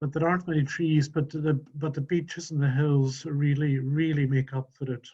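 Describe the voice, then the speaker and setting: At a moderate pace and with hardly any pauses, a man talks in a dark, mellow, somewhat breathy tone with monotone, flat intonation. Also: fairly high pitch for a man. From Scotland, Outer Hebrides. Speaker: webinar attendee, volunteer gardener. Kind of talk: casual chat. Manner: soft-spoken; halting, many repetitions.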